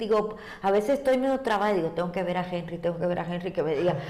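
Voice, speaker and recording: Audible room echo and noticeable background noise surround a woman's voice. Her pitch variation is ordinary. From Cuba. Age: 60s. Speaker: ballet teacher. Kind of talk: interview.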